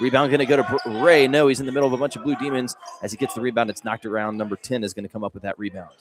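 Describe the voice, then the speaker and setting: Animated and very fast, a man speaks with big swings in loudness. His pitch variation is ordinary. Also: medium pitch for a man. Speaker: high school basketball play-by-play announcer. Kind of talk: live sports commentary. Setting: courtside at a gym, live broadcast. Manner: fast, animated play-by-play.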